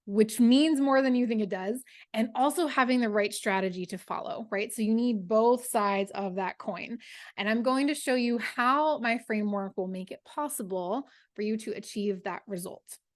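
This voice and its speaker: At a moderate pace, a woman talks in an enthusiastic tone with a fairly high pitch and ordinary pitch variation. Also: quiet background. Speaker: book coach and novelist. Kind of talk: webinar masterclass presentation. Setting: online webinar with screen share.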